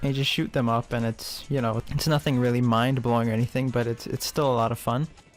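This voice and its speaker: Music plays behind a man talking at a very fast pace and medium pitch. His loudness stays very even. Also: fairly even intonation, hardly any pauses. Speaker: gaming video commentator. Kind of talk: casual game review commentary. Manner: monotone.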